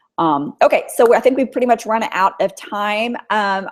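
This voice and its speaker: A woman speaks at a fairly high pitch. Vocal fry runs through her voice. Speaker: author and writing teacher. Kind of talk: webinar Q&A. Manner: fast; hesitant fillers.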